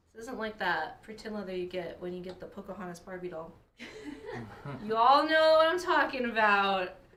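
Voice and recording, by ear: A fairly high-pitched woman speaks at a moderate pace in an upbeat tone, with very wide pitch swings and big swings in loudness. Noticeable background noise is present.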